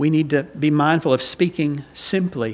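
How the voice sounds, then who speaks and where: A man with a Southern US accent speaks very slowly in a fairly high pitch, his intonation fairly even. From US South. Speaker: visiting preacher. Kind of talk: sermon. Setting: church. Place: church. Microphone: podium.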